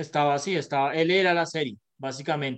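Moderately paced male speech with ordinary rises and falls in pitch. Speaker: podcast co-host. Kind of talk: casual chat.

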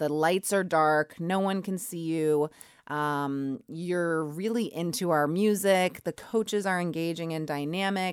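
A woman with an American accent has an ordinary speaking voice, fairly low in pitch with ordinary pitch variation. She speaks with hardly any pauses on a very clean recording with a silent background. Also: fairly slow pace. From US Northeast, Braintree near Boston. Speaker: spin studio owner. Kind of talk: radio interview.

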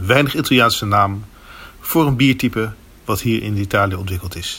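With a Dutch accent, a man talks fairly quickly in a bright, sharp tone with ordinary pitch variation. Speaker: beer video presenter. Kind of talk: documentary narration. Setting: on location at a beer competition.

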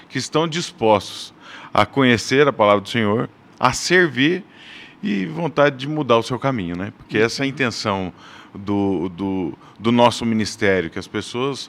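A normal speaking voice at a moderate pace, with lively intonation. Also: man. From Brazil, Paraná (Londrina). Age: 40s. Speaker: church men's ministry leader. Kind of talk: casual chat.

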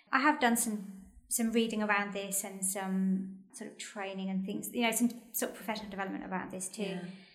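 A woman with a British accent talks at a very fast pace, her medium pitch held in fairly even intonation. Audible room echo is present. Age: 40s. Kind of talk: casual chat.

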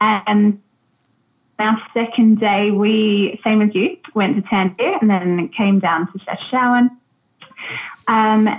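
A woman with an Australian accent, a fairly high pitch and a very slow pace. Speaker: travel tour operator, expat. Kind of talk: casual interview chat. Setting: video call. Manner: hesitant, filler words.

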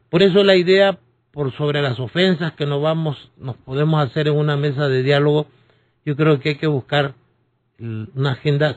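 This man's voice is somewhat breathy. He talks at a moderate pace with ordinary pitch variation. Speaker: political analyst and lawyer. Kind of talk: radio interview.

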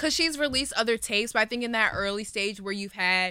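Recorded very cleanly against a silent background, a woman with an American accent speaks in a bright, sharp tone with ordinary pitch variation. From Washington, D.C. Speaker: student music journalist. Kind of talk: casual chat.

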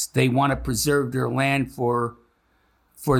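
Speaking in an American accent, a man talks at a fairly slow pace in a medium pitch with monotone, flat intonation. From Chicago, US Midwest. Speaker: retired high school history teacher, school board member. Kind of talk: interview conversation.

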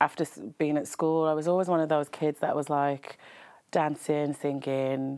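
With a dark, mellow tone and a very deep, low pitch, a woman speaks in a flat monotone at a moderate pace and very even loudness, on a very clean recording with a silent background. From Birmingham, England. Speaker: TV presenter and makeup artist. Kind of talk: casual interview chat. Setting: studio.

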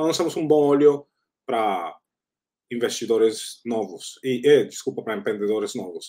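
In a Spanish accent, a man talks at a moderate pace. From Colombia. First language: Spanish (speaking Portuguese). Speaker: startup founder. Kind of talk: interview.

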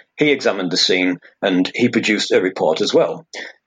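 At a moderate pace, a man speaks with a Teesside accent. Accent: northern English (Teesside). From northeast England (Hartlepool, Teesside). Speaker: fingerprint expert. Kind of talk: interview.

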